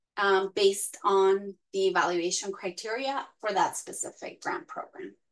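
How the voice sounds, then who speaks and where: This woman has a Spanish accent. Her pitch sits at a medium level. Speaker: arts grant program staff. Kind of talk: informational webinar presentation. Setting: online webinar. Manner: hesitant, many fillers.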